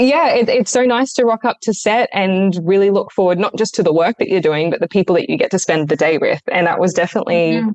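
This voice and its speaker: At a very fast clip with hardly any pauses, a woman speaks at medium pitch with lively intonation and very even loudness, in a dry, close sound with no echo. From Australia. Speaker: actress. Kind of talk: interview. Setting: video call.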